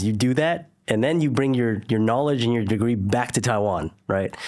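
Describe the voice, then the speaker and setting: A man with a Californian accent speaks at a moderate pace and a medium pitch. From Northern California (Silicon Valley). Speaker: entrepreneur, former lawyer. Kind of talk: interview conversation.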